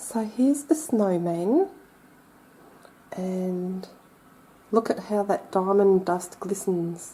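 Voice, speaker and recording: Speaking with an Australian accent, a woman uses a medium pitch, a dark, mellow, somewhat breathy tone and ordinary pitch variation, moving at a very slow pace with long, frequent pauses. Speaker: crafter. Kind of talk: tutorial. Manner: casual, chatty.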